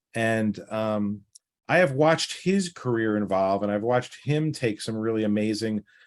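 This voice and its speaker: In a very clean recording with a silent background, a man speaks with a slight New York accent. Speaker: financial planner. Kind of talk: interview. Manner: direct.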